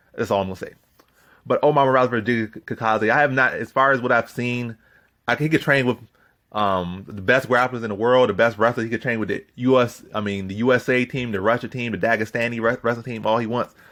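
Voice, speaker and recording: Very fast and fairly even in intonation, a man speaks at a medium pitch with a bright, sharp tone. The recording is very clean, with a silent background. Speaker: MMA prediction youtuber. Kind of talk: solo commentary video. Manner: casual with filler words.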